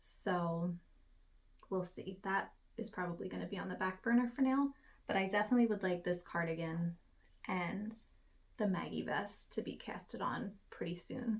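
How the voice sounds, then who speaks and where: A soft-spoken, somewhat breathy woman at a medium pitch and moderate pace, with ordinary pitch variation and long, frequent pauses. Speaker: knitting podcaster. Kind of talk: casual craft vlog.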